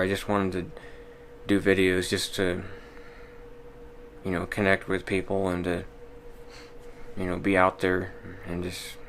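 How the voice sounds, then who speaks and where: With an American accent, a man speaks at a moderate pace in a very deep, low pitch and a monotone, flat intonation, leaving long, frequent pauses amid audible room echo. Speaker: vlogger. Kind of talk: casual monologue vlog. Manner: monotone, little inflection; hesitant, many fillers.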